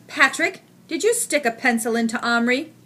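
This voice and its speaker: In a put-on character voice, the speaker uses a stern tone at a moderate pace with ordinary pitch variation. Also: woman, high pitch for a woman. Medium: read story. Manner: stern, irritable.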